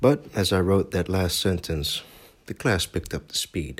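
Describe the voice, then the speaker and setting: A somewhat breathy voice at a fairly slow pace. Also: man. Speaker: intern English teacher, podcaster. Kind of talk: reading aloud from diary.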